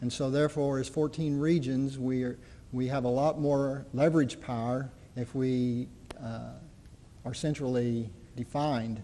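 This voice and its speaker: In a southern Indiana accent, a man with a dark, mellow tone speaks at a medium pitch and moderate pace, his intonation fairly even amid audible room echo. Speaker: community college dean. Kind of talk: conference presentation. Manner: halting, with frequent fillers.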